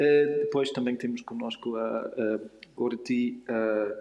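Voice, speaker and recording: With noticeable background noise, a man with a non-native accent speaks very slowly at a medium pitch in a monotone, flat manner. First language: not Portuguese (speaking Portuguese). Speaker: panel moderator, philosophy researcher. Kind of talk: panel discussion moderation. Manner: halting, many hesitations.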